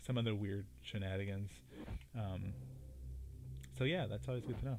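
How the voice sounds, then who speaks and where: A man talks at a fairly quick pace and a fairly low pitch. He has an ordinary speaking voice. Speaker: gaming livestreamer. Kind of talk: casual chat.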